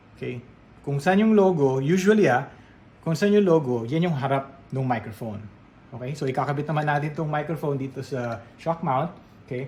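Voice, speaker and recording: A somewhat breathy man with a Filipino accent, fairly high in pitch, at a fairly quick pace with ordinary pitch variation. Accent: Filipino English with Tagalog code-switching. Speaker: radio DJ and voiceover artist. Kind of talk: product review talking to camera. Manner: professional radio-trained, clear, friendly.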